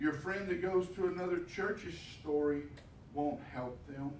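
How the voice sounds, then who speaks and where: Light background noise and audible room echo surround a man speaking in a Texan accent. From Texas. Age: 50s. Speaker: pastor. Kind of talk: sermon. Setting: church. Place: church.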